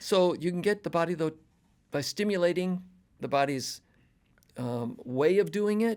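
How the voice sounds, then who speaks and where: A high-pitched male voice with lively intonation, a moderate pace, and long, frequent pauses. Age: 70s. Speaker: health coach and clinic owner. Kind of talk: interview conversation. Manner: halting.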